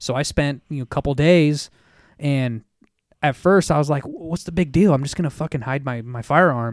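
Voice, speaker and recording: A man with a normal speaking voice, a fairly quick pace, a fairly high pitch and ordinary pitch variation. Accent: American. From Reno, Nevada. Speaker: tattoo artist. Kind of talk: casual chat.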